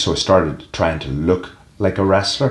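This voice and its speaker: Speaking at a moderate pace, a man with a Northern Irish accent uses ordinary pitch variation. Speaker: professional wrestler. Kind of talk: interview.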